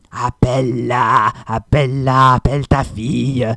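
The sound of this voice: A man uses a put-on character voice, hoarse and growling at a medium pitch. He goes at a fairly slow pace.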